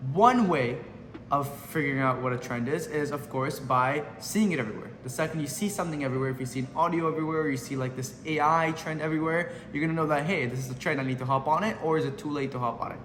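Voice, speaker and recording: A man with a fairly high pitch and ordinary pitch variation speaks at a very fast pace. Audible room echo and music fill the background. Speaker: social media marketing coach. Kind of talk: tutorial. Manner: casual, unscripted.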